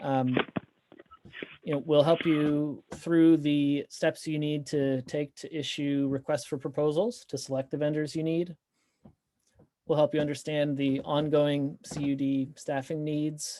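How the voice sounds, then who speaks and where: In a very clean recording over a silent background, the words unfold at a fairly slow pace. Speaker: broadband consultant. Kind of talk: business presentation at a board meeting. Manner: hesitant, many fillers.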